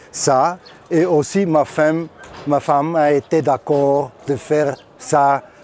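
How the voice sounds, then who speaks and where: A man with a fairly high pitch speaks at a very slow pace. Noticeable background noise can be heard throughout. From Austria. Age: 60s. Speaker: rally driver. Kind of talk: interview. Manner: halting.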